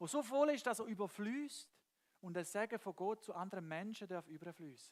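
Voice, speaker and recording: A high-pitched man's voice with a Swiss German accent and lively intonation. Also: moderate pace. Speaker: preacher. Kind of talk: church sermon.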